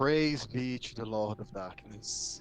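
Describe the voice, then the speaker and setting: Using a raspy, put-on character voice at a medium pitch, a man speaks at a fairly slow pace over clear background noise. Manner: weak, muttering.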